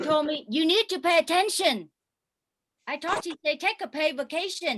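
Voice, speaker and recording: In a Vietnamese accent, a woman speaks at an extremely high pitch with ordinary pitch variation. Her moderate pace comes through in a dry, close sound with no echo. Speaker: stand-up comedian. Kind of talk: stand-up. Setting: video call.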